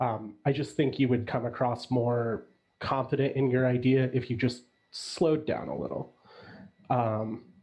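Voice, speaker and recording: A man speaks fairly slowly, his voice somewhat breathy and his intonation fairly even. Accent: American. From US Midwest, Chicago. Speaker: judge on a mock pitch panel. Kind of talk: panel feedback on a pitch.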